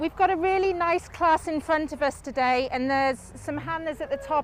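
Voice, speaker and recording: There is noticeable background noise as a woman speaks at a moderate pace with a high pitch and fairly even intonation. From northern England, Lancashire. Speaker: livestock show judge. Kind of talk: judge's placing reasons to ringside audience. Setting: livestock show ring. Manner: loud, projecting.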